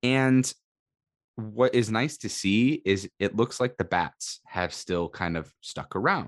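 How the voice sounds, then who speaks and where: A man speaks at a very slow pace. The sound is dry and close, with no echo. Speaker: sports podcast co-host. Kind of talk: casual chat. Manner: halting.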